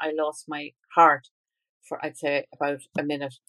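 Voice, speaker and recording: Bright and sharp in tone, a woman speaks with an Irish accent. The sound is dry and close, with no echo. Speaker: author and parent. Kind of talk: interview.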